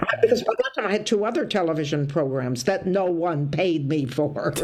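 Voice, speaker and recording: A woman with an American accent talks at a moderate pace with very wide pitch swings. Noticeable background noise runs behind her. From US Midwest, Toledo, Ohio. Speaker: stand-up comedian. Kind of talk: casual interview chat. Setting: video call. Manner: animated storytelling.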